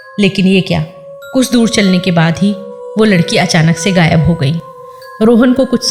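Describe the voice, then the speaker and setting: Music plays behind this woman as her intonation moves in a lively way. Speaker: radio-style host and storyteller. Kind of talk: horror story narration in radio show style.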